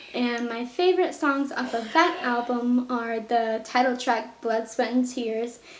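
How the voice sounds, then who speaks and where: Audible room echo surrounds a woman who speaks at a fairly slow pace in a high pitch with ordinary pitch variation. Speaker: music youtuber. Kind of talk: casual monologue to camera. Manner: animated.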